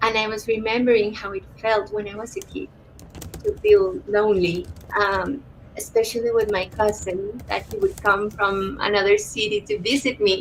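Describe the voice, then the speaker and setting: A woman with a Spanish accent speaks at a moderate pace with fairly even intonation and big swings in loudness. Noticeable background noise runs underneath. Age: 30s. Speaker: author-illustrator and art therapist. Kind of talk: interview conversation. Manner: halting.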